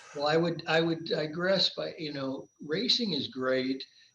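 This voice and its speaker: Noticeable background noise sits behind a man speaking. He keeps a moderate pace with ordinary pitch variation. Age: 60s. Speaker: endurance athlete and business executive. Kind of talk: interview conversation.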